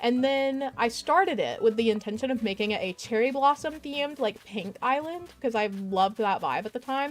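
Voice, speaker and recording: Lively in intonation, a woman speaks in a plain, everyday voice at a fairly high pitch. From US South. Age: 20s. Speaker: gaming streamer. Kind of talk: casual chat. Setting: live stream.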